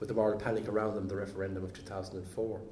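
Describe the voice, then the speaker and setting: A man's somewhat breathy voice at a very fast pace. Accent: Irish. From Ireland. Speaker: professor. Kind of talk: lecture. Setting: academic event with audience. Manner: halting, many repeated words.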